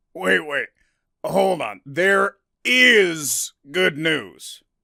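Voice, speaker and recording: A man puts on a character voice that is high-pitched and raspy, delivered at a very slow pace. The sound is dry and close, with no echo. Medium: read story. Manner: calm, matter-of-fact.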